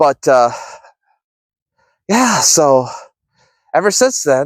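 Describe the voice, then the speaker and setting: A man's fairly high-pitched voice at a very slow pace. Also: dry, close sound with no echo. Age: 50s. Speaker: ministry vlogger. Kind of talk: casual vlog monologue. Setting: outdoors on a walk.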